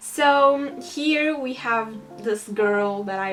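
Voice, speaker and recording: Ordinary pitch variation, with audible room echo and noticeable background noise. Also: woman. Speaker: digital artist youtuber. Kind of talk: casual drawing tutorial vlog.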